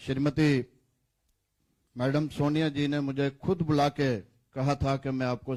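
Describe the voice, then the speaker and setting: A man's medium-pitched voice comes through on a very clean recording with a silent background. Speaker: politician. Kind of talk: press conference statement.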